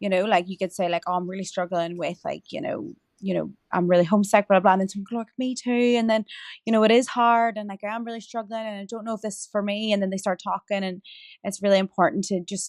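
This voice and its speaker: Medium-pitched speech from a woman, the pitch varying in an ordinary way, the sound dry and close without echo, the recording very clean and the background silent. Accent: Irish. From rural Ireland. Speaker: meditation coach and podcast host. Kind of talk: casual interview chat. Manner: halting, many fillers.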